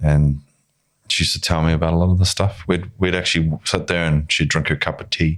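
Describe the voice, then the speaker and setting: A man with a New Zealand accent talks at a fairly quick pace. His pitch is very deep and low, and his intonation is monotone and flat. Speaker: filmmaker and actor. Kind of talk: casual chat.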